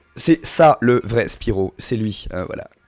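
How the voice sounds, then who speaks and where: With music playing in the background, a man speaks at a very slow pace using lively intonation. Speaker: streamer. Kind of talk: casual live stream chat. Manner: animated.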